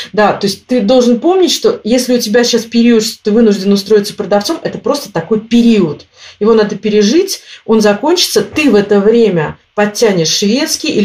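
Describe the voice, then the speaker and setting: A woman talks at a fairly quick pace in a fairly high, somewhat breathy voice. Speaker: emigrant interviewee. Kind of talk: interview. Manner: animated.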